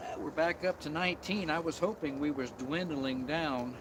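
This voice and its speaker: Noticeable background noise accompanies this recording. The man speaking has a high pitch. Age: 60s. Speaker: outdoor camping vlogger. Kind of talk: casual live stream chat. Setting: outdoors in the woods at night.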